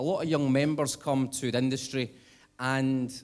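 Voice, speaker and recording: A man is speaking here. He has a Scottish accent. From Scotland. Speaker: conference speaker, young nuclear professionals network chair. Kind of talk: conference talk. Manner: hesitant with many fillers.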